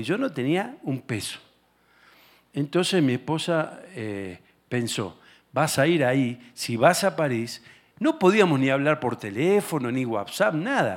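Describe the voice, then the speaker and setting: Speaking fairly slowly with very wide pitch swings, a man with an Argentine accent is heard on a very clean recording with a silent background. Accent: Argentine Spanish (Rioplatense). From Argentina. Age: 60s. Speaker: guest preacher and political ministry leader. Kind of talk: sermon. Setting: church service with congregation.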